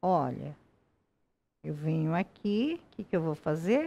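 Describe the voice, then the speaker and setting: A woman at a very slow pace. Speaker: embroidery teacher. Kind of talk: interview and craft tutorial. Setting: studio. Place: studio. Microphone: headset.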